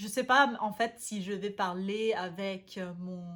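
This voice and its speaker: A woman speaks with a German accent at medium pitch. Her pace is very slow. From Vienna, Austria. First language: German (speaking French). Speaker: language learning youtuber. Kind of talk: casual vlog talk. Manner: halting, many hesitations.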